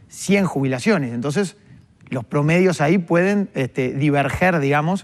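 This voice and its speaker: Using a plain, everyday voice, a man speaks at a moderate pace with a fairly high pitch and lively intonation. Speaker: economist, workers' representative. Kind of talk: TV interview. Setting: TV studio. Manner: explanatory, measured.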